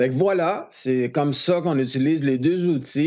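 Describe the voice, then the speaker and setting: Speaking with a Quebec accent, a man has a fairly high pitch, ordinary pitch variation and a fairly slow pace. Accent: Québécois French. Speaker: photographer teaching Photoshop. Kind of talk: tutorial. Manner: casual.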